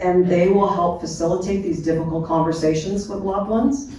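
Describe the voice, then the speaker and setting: Audible room echo and noticeable background noise run through the recording. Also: woman. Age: 60s. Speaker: end-of-life care panelist. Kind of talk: panel discussion.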